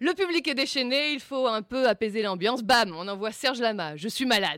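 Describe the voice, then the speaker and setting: A woman speaks in a Bordeaux accent with lively intonation. Her pace is fairly quick. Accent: southwestern French (Bordeaux). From Bordeaux area, France. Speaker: comedy columnist. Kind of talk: comedic character sketch. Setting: studio.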